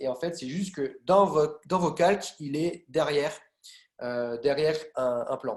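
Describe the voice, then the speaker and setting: The man's voice is fairly high in pitch, with ordinary pitch variation. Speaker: graphic design trainer. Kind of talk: lecture. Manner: loud; hesitant.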